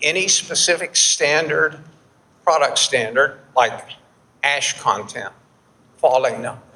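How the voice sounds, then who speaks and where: A man with a Texan accent, fairly high pitch, ordinary pitch variation and a fairly slow pace, amid noticeable background noise. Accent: Texan American English. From Texas, Houston. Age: 70s. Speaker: flour milling expert, keynote speaker. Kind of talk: conference keynote presentation. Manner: halting, with repetitions and fillers.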